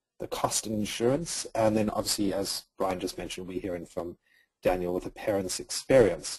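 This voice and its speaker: A man speaks with an American accent in a dark, mellow, somewhat breathy tone. His pitch varies in an ordinary way, and his pace is moderate. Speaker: surrogacy agency outreach representative. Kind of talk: webinar presentation. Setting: online webinar.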